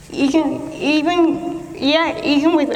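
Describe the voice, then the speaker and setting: A woman's voice comes with audible room echo and noticeable background noise. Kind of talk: prepared speech. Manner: halting, with repetitions and self-corrections; speech shaped by years of speech therapy.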